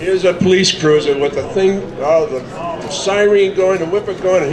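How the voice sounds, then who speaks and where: Noticeable background noise accompanies a man speaking at a fairly quick pace with ordinary pitch variation. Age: 70s. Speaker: car show sponsor, local business owner. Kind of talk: informal speech at community event.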